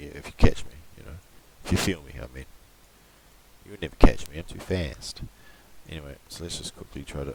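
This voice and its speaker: A man talks at a very fast pace. His voice has vocal fry. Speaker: amateur digital artist tutorial youtuber. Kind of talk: screen-recorded software tutorial. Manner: casual, rambling with frequent fillers and swearing.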